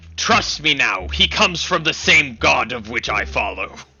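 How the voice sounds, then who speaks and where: Over faint music in the background, a man uses a put-on character voice at a moderate pace. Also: fairly high pitch for a man. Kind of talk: archaic grandiose speech. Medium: actual play. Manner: fervent, repetitive.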